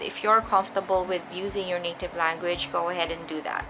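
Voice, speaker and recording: Someone speaks at a moderate pace with a Filipino accent while music plays in the background. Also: woman. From Philippines. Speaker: beauty and lifestyle vlogger. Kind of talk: casual vlog to camera. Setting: bedroom at night. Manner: soft-spoken.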